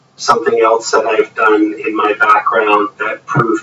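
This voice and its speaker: Speaking with a Canadian accent at a moderate pace, a man is heard against noticeable background noise. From Ontario, Canada. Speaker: lawyer. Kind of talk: inquiry testimony.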